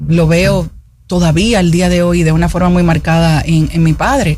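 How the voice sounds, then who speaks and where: A woman talks fairly slowly amid audible room echo. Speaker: politician, parliamentary candidate and former beauty queen. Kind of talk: radio interview. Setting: radio studio.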